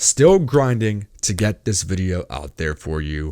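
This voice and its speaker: On a very clean recording with a silent background, a man with a very deep, low pitch speaks with lively intonation. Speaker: YouTuber and podcast host. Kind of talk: casual podcast monologue. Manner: fast, rambling with fillers.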